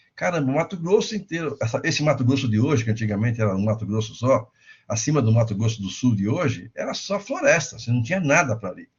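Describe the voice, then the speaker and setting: A man talks very fast, his medium-pitched voice carrying lively intonation. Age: 60s. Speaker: insurance lecturer. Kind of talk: lecture.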